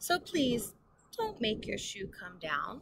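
A woman puts on a character voice at medium pitch, slow and with big pitch swings. Her tone is fairly bright with vocal fry and a slightly husky edge.

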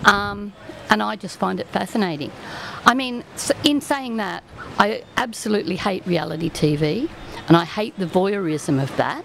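A woman talks at a moderate pace, with long, frequent pauses, very wide pitch swings and big swings in loudness. The sound is dry with no echo, over light background noise. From Australia. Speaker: retired teacher and local writer. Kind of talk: casual interview. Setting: outdoors at a venue, live broadcast. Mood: warm, engaged. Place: cafe. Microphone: studio mic.

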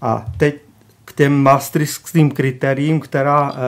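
A man's voice, fairly high in pitch. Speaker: economist. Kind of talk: radio talk show interview. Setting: studio.

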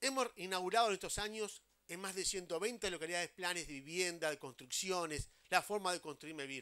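Against a quiet background, a man with a high pitch speaks at a moderate pace with ordinary pitch variation and a bright, sharp tone. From Uruguay. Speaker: housing agency head. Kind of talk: public speech. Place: open country. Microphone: handheld.

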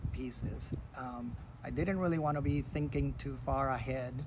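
At a fairly slow pace, a man speaks through noticeable background noise. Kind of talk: casual reflective talk. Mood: calm, reflective. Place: garden. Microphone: phone near.

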